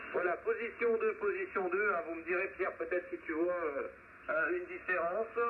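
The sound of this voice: Pitched high, a man talks at a moderate pace with fairly even intonation.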